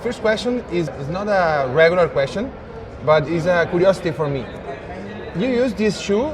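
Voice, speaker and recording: Someone with a Spanish accent speaks at a moderate pace with lively intonation and long, frequent pauses, with noticeable background noise and audible room echo. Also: man, high pitch for a man. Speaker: interviewer. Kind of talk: interview. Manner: halting.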